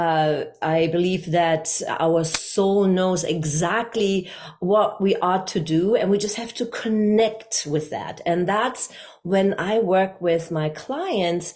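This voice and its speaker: A woman with a German accent talks at a very slow pace. Her medium pitch shows ordinary variation. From Germany, Hamburg. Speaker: communication coach. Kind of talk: interview.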